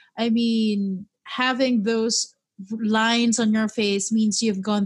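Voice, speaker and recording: Somewhat breathy, a woman at medium pitch speaks in a monotone with flat intonation. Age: 30s. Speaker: podcast host. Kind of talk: casual chat.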